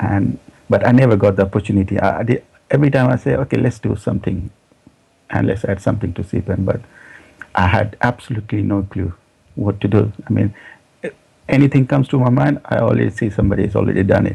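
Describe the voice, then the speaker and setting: A man at a very fast pace, fairly low in pitch, with ordinary pitch variation and long, frequent pauses. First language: not English. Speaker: software developer. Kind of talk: interview. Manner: halting, many fillers and repeats.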